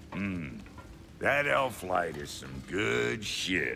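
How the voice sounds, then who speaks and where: A man uses a put-on character voice in a very deep, low pitch. He talks at a very slow pace over clear background noise. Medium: video game. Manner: gruff, crude.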